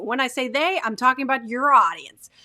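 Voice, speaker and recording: A woman projects her raised voice with a bright, sharp tone. She talks at a fairly quick pace, and the sound is dry and close with no echo. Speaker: video marketing coach. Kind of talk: tutorial. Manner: varied pitch, expressive.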